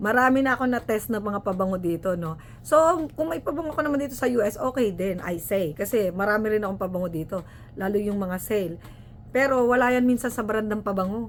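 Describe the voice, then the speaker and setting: At a very fast pace, a woman with a medium pitch talks in an animated tone with lively intonation. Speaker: vlogger, nurse. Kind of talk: casual tutorial vlog.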